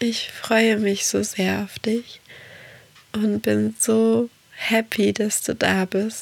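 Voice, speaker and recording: This woman talks very slowly. Her sound is dry and close, without any echo. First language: Portuguese (speaking German). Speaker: podcast host and meditation guide. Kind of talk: podcast monologue. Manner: soft-spoken.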